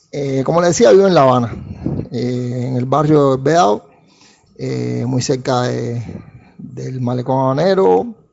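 A man with a Cuban accent speaks at a fairly slow pace in a medium pitch, with ordinary pitch variation and long, frequent pauses. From Cuba, Havana. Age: 50s. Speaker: industrial engineer. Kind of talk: monologue to listeners. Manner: halting, many fillers and repetitions.

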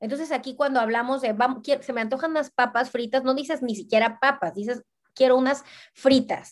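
A woman talks at a fairly quick pace with a high pitch and fairly even intonation. Behind her, the background is quiet. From Mexico, Veracruz. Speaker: fashion blogger. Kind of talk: casual chat.

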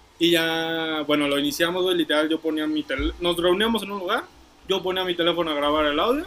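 Fairly quick delivery with fairly even intonation over noticeable background noise. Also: man. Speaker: podcast co-host. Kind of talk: casual chat. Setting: outdoors.

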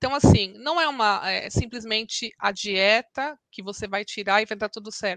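A woman with an unremarkable speaking voice talks at a moderate pace and fairly high pitch, with ordinary pitch variation and big swings in loudness. She leaves hardly any pauses, and the sound is dry and close with no echo. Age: 40s. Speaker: lawyer and mother of a celiac child. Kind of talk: testimony interview.

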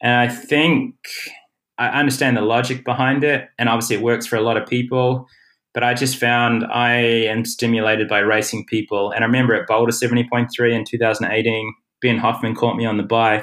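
A man with a New Zealand accent talks at a moderate pace in a medium pitch, his intonation flat and monotone. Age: 30s. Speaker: pro triathlete. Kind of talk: interview. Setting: remote call.

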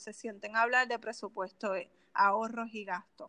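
A woman speaks in a Puerto Rican accent with a bright, sharp tone. Her pace is moderate and her pitch varies in an ordinary way. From Puerto Rico (Canóvanas). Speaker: personal finance specialist. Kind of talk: interview.

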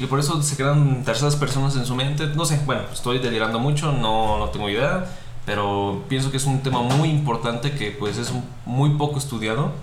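A man talks at a moderate pace with ordinary pitch variation, and the recording carries audible room echo and noticeable background noise. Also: medium pitch for a man. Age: 20s. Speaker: designer. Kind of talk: casual chat.

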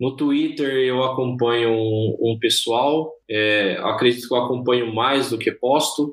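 A man at a very slow pace, with hardly any pauses and very even loudness. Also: medium pitch for a man, fairly even intonation. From Brazil, interior of São Paulo state. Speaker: software engineer. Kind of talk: interview.

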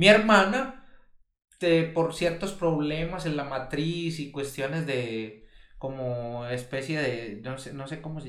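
At a very slow pace, a man with fairly high pitch and ordinary pitch variation speaks amid audible room echo. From Colombia. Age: 40s. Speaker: podcast co-host. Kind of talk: casual discussion.

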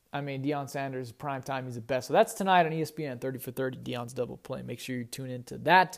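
Speaking at a very fast pace with an animated tone, a man keeps a medium pitch on a very clean recording with a silent background. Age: 20s. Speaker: sports podcast host. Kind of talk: casual sports talk.

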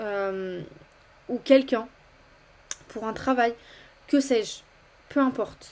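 A woman with a fairly high pitch talks at a very slow pace, using ordinary pitch variation. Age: 20s. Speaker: podcast host. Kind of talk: casual monologue. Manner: hesitant.

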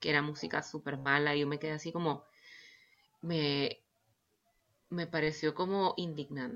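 At a moderate pace, the speaker uses ordinary pitch variation in a Nicaraguan accent. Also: woman. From Nicaragua, Managua. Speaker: violinist and composer. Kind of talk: interview. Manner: hesitant, many fillers.

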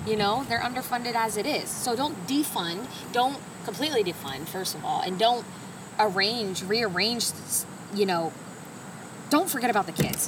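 A woman with a fairly high pitch speaks at a moderate pace with lively intonation and long, frequent pauses. Audible room echo and noticeable background noise fill the recording. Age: 30s. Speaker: podcast co-host, stay-at-home mom. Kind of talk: casual chat.

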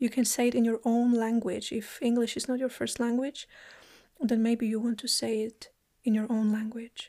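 The voice has a gentle, soothing tone that is also dark and mellow, delivered with monotone, flat intonation. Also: woman, fairly high pitch for a woman. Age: 30s. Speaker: podcast host and lomi lomi massage practitioner. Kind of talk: guided meditation, inviting listeners to close eyes and repeat an affirmation; solo podcast monologue, personal reflection. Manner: slow, gentle and soothing with pauses; warm, heartfelt, occasionally laughing.

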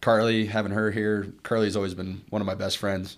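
A man with an American accent, fairly low in pitch, monotone and flat in intonation, at a moderate pace. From Colorado, Arvada (Denver suburb). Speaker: former college football linebacker, businessman. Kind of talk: casual interview. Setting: studio at a university business school.

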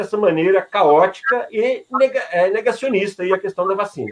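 A man with a high voice talks at a moderate speed, his pitch swinging very widely. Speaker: journalist co-host. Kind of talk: interview.

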